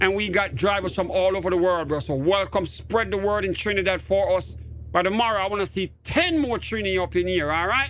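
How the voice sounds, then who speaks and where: With a Jamaican accent, the speaker talks at a fairly quick pace with ordinary pitch variation, and noticeable background noise is present. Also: man, high pitch for a man. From Jamaica, Portmore. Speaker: gaming streamer. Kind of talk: live stream commentary. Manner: animated.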